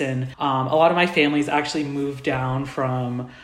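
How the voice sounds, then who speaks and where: A man is speaking. Noticeable background noise and audible room echo accompany his voice. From US Midwest, Indianapolis, Indiana. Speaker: university student. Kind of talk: casual interview.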